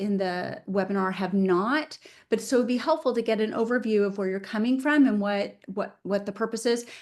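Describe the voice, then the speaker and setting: Against a quiet background, a woman speaks in an ordinary speaking voice at fairly high pitch with ordinary pitch variation. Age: 50s. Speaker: webinar host, attorney. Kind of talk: interview. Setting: video call.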